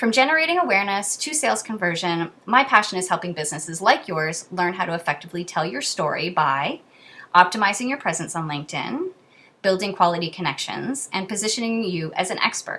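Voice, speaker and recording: The voice has a bright, sharp tone, moving at a fairly quick pace with very wide pitch swings. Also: woman, medium pitch for a woman. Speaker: social media marketing consultant. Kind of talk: reading aloud. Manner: fast.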